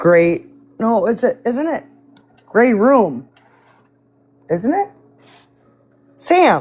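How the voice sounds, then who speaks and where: A woman with a Midwestern accent speaks very slowly, with vocal fry and very wide pitch swings. She leaves long, frequent pauses. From US Midwest. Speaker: live stream participant. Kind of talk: casual chat.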